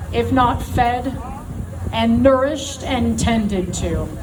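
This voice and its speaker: Amid crowd noise and audible room echo, a woman with an American accent speaks at a very slow pace in a fairly high pitch. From United States. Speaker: political activist. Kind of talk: rally speech. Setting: outdoor stage with crowd. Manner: loud; impassioned.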